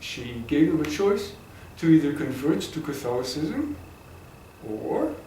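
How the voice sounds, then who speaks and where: There is audible room echo around a man whose voice sits at a fairly high pitch. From Egypt, Cairo. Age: 70s. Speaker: interviewee recounting family history. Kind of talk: oral history interview. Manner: halting, repeats words.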